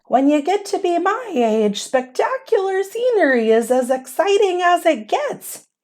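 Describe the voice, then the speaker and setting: In a put-on character voice, a woman squeaks at an extremely high pitch with very wide pitch swings, keeping a moderate pace, very even loudness and hardly any pauses. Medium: read story. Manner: friendly, dry humor.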